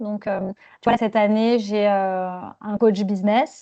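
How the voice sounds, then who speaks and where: In a quiet background, a woman speaks at a very slow pace with a dark, mellow tone. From southern France. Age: 40s. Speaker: management coach. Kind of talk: podcast interview. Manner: hesitant, many fillers.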